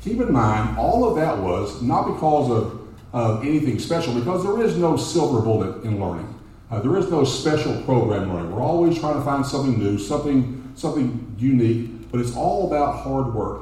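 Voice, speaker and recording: A medium-pitched man with a Texan accent talks at a moderate pace, with noticeable background noise and audible room echo. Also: lively intonation. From Texas, Dallas (Oak Cliff). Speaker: congressional candidate, educator. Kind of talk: campaign speech. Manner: halting, repeats words.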